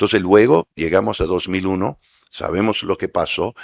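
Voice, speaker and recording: English-accented male speech. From US, New York. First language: English (speaking Spanish). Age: 60s. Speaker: former diplomat. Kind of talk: panel discussion. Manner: loud.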